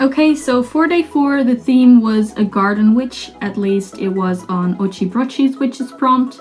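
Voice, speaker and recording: Over noticeable background noise, a woman with a non-native accent talks at a moderate pace in a high voice with ordinary pitch variation. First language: not English. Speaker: art vlogger. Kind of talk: casual chat. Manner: halting.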